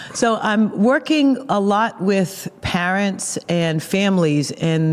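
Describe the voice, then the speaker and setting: Here a woman speaks with a Boston accent. Her pitch variation is ordinary. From Boston, Massachusetts. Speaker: pastor and seminary teacher. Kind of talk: interview conversation. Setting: recorded at a conference.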